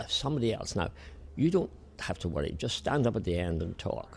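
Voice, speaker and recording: Speaking with an Irish accent, a man has a fairly low pitch and a somewhat breathy sound. He talks at a fairly quick pace with very wide pitch swings. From Ireland. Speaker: Presbyterian minister and flower arranger. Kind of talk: interview. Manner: halting.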